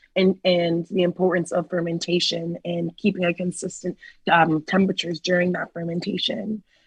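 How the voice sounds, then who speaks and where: In a Washington DC accent, a woman speaks at a moderate pace, somewhat breathy. Her intonation is monotone and flat, and the sound is dry and close with no echo. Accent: very American, DC. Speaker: winemaker. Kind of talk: interview.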